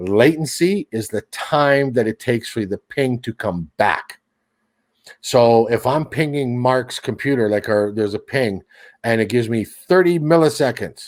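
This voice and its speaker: A plain, everyday voice moves at a fairly slow pace with lively intonation, recorded dry and close with no echo on a very clean, silent background. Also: man, medium pitch for a man. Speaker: seedbox and streaming tech guest. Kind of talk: casual chat.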